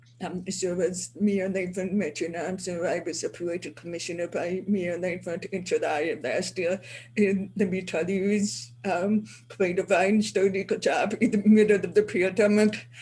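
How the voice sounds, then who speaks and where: Somewhat breathy and dark, mellow in tone, a woman speaks at a medium pitch and moderate pace with fairly even intonation. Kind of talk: webinar panel remarks. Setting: video call from city hall office.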